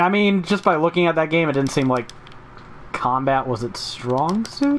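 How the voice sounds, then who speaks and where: A man's fairly high voice at a moderate pace, with lively intonation and noticeable background noise. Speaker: gaming podcast host. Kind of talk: casual podcast chat. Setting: live stream.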